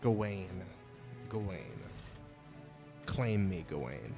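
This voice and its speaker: Over clear music in the background, a man uses a put-on character voice. His pitch is fairly low and his pace is very slow. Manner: spooky, beckoning.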